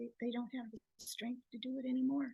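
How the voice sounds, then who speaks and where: Her voice high yet dark and mellow, a woman speaks in a monotone, flat way, the sound dry and close with no echo. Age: 80s+. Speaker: potluck attendee sharing health story. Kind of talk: personal testimony at a group gathering. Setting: room at a raw food potluck gathering.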